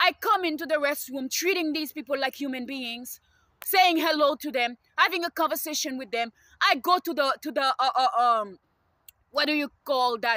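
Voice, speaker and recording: A woman projects a raised, high voice with a bright, sharp tone, recorded dry and close with no echo. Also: ordinary pitch variation, moderate pace. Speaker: student and video blogger. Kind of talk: personal rant to camera. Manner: halting with many fillers; agitated.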